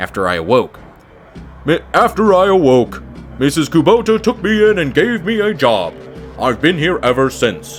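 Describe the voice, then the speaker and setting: Clear music plays in the background as a man does a put-on character voice. He speaks at a moderate pace with a fairly high pitch. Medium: game stream. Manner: calm, impassive, dry.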